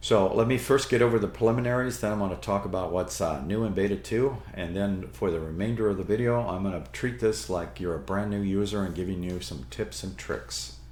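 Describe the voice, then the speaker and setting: A man talks fairly quickly with vocal fry and very wide pitch swings. Audible room echo surrounds his voice. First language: not English. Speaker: Linux tutorial YouTuber. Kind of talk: tutorial.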